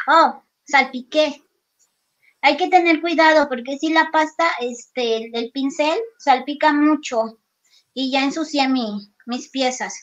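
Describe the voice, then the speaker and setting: A woman talks in a high pitch at a very slow pace. Her pitch variation is ordinary. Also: quiet background. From Mexico, Guerrero (near Acapulco). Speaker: craft artist; craft instructor. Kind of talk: live craft demo. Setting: video call from her workshop.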